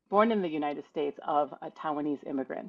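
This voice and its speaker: This woman's voice is very deep and low, delivered at a moderate speed. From US Midwest, Toledo, Ohio. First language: Mandarin Chinese. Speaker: patent attorney. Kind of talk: podcast interview. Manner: conversational, casual.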